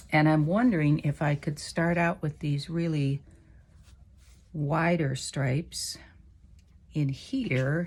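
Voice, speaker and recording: A somewhat breathy woman with a very deep, low pitch, on a very clean recording with a silent background. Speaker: quilting teacher. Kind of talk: tutorial. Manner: casual, thinking aloud.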